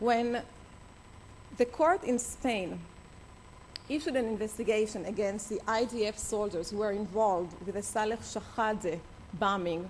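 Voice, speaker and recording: A woman with an Israeli accent, fairly high in pitch with ordinary variation, at a fairly slow pace with long, frequent pauses and audible room echo. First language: Hebrew. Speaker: attorney, organization head. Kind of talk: conference speech. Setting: conference stage with audience. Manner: halting.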